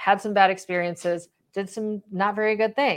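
At a fairly slow pace, a woman talks in a medium pitch with an unremarkable speaking voice. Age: 40s. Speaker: recovery coach and podcaster. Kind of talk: interview.

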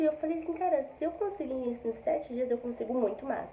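The speech moves at a very fast pace, with noticeable background noise behind it. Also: woman. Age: 20s. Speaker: affiliate marketer. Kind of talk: testimony. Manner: casual, filler-heavy.

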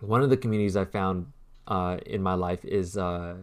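Here is a plain, everyday voice from a man, pitched fairly low. He moves at a fairly quick pace with ordinary pitch variation. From US, raised Vietnamese-American. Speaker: artist and designer, podcast co-host. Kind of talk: casual chat.

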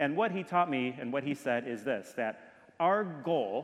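A man with an American accent and an unremarkable speaking voice talks at a moderate pace, his fairly high pitch carried by lively intonation. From US Midwest, Detroit, Michigan. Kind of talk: sermon.

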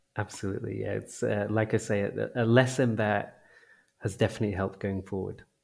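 Speaking with an English accent, a man talks at a fairly quick pace in a fairly low, flat monotone with vocal fry. The recording is very clean, with a silent background. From small town in England. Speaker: games company founder and CEO. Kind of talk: interview. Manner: hesitant with frequent word repetitions.

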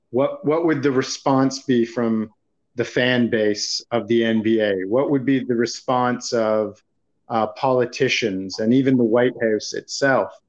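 Keeping his loudness very even, a man talks in an ordinary speaking voice. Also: medium pitch for a man. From Toronto area, Canada. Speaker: podcast host. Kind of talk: casual sports podcast chat.

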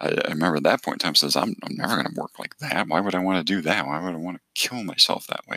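Very fast speech from a man, very deep and low in pitch, with ordinary pitch variation. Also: hardly any pauses. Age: 40s. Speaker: podcast host, accountant. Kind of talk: solo podcast monologue. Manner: halting, many fillers.

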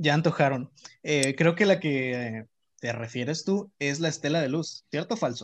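Against a quiet background, a man speaks at a fairly slow pace in an ordinary speaking voice. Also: fairly high pitch for a man, ordinary pitch variation. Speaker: architecture student. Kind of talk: casual chat.

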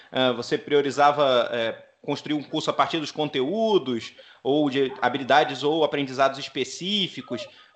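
This man has an ordinary speaking voice, fairly high in pitch, moving at a moderate pace. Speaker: podcast host. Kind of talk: interview.

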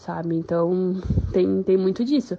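A woman speaks at medium pitch with a southern Brazilian accent. Her pace is moderate. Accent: gaúcho Brazilian Portuguese. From Rio Grande do Sul, Brazil. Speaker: journalist. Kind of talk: recorded testimony.

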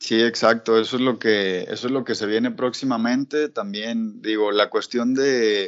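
At a fairly slow pace with hardly any pauses, a man speaks in a normal speaking voice of medium pitch and fairly even intonation. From Mexico, Guadalajara (Jalisco). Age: 20s. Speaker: urban fishing project founder, sport angler. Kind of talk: interview.

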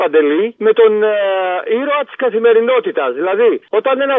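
A man talking at a moderate pace. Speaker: caller. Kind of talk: phone-in rant. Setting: phone call. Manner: animated.

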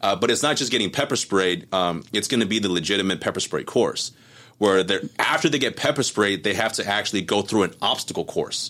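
In a very clean recording with a silent background, a man with an American accent talks at a fairly quick pace in a fairly low-pitched, bright, sharp voice, animated in tone and lively in intonation. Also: very even loudness. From Southern California. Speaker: firearms instructor and combat veteran. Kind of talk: interview conversation. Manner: animated, with frequent fillers and repetitions.

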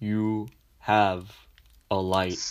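A man puts on a character voice, fairly low in pitch and delivered in a flat monotone. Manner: eerie, in unison.

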